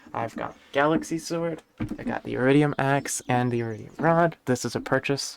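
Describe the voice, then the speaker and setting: Soft-spoken delivery at a moderate pace, with fairly even intonation. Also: man. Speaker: gaming streamer. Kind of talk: gameplay commentary. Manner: quiet, talking softly.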